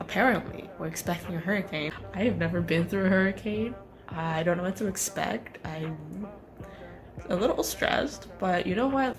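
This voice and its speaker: Over music in the background, a woman with a fairly low pitch speaks at a moderate pace with ordinary pitch variation. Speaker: medical student. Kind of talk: vlog.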